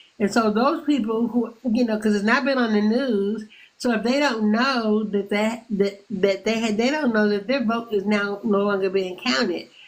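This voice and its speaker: Speaking at a moderate pace with hardly any pauses, a woman keeps a very even loudness, fairly even intonation and a fairly high pitch. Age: 60s. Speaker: caller on a livestream. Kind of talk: casual chat. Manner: halting, repeats words.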